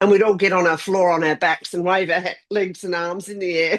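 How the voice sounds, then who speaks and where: The speaker has an Australian accent, ordinary pitch variation and a moderate pace. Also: woman. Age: 60s. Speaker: vlog co-host. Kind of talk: casual chat.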